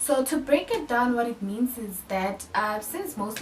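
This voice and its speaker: Noticeable background noise and audible room echo surround a woman talking at a moderate pace with ordinary pitch variation. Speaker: personal finance YouTuber. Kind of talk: tutorial.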